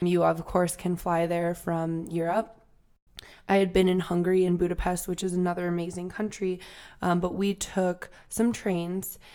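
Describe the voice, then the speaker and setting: A woman speaks at a moderate pace in a dark, mellow tone, her fairly low pitch held in a monotone, flat intonation. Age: 20s. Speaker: travel podcast co-host. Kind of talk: casual chat.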